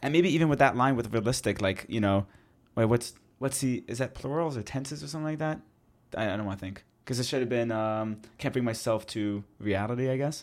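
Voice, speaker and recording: Using a normal speaking voice, a man with a Canadian accent talks at a fairly quick pace and medium pitch with ordinary pitch variation. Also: very clean recording, silent background. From Canada. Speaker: podcast co-host. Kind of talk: casual chat.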